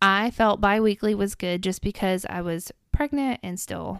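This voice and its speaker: A woman with a Tennessee accent speaks at medium pitch and a fairly slow pace, with ordinary pitch variation. The recording is very clean, with a silent background and a dry, close sound with no echo. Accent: Southern US (Tennessee). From Middle Tennessee. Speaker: mother sharing parenting experience. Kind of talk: casual interview chat.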